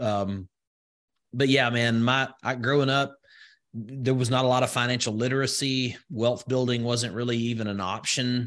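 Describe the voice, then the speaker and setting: The speaker has a Southern US accent. The intonation stays monotone and flat. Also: man, medium pitch for a man, quiet background. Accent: Southern US, slow vowels. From rural Alabama, US South. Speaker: crypto investor and entrepreneur. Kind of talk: casual interview.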